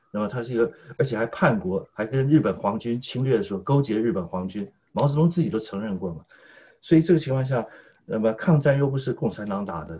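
A very fast, somewhat breathy man's voice at medium pitch, dark and mellow in tone, with lively intonation. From Taiwan, Taipei. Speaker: political commentator. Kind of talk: political discussion.

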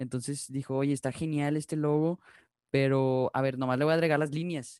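Speaking in an ordinary speaking voice, a man talks fairly quickly at a fairly high pitch with fairly even intonation, the sound dry and close with no echo. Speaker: podcast host. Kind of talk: casual chat.

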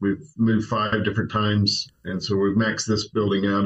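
This is a plain, everyday voice from a man with an American accent. He speaks at a moderate pace in a medium pitch. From Oklahoma, Tulsa. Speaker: senior pastor. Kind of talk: casual interview.

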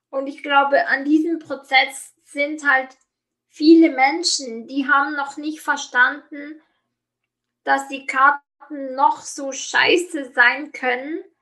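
A woman speaks at a very slow pace in a raised, projected voice that is high in pitch with a bright, sharp tone. Her intonation is fairly even, while her loudness swings widely. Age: 30s. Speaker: life coach. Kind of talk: interview. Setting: online call.

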